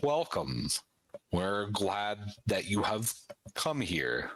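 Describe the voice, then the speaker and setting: A man speaks very slowly in a put-on character voice, fairly low-pitched and resonant, with very wide pitch swings. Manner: solemn, welcoming.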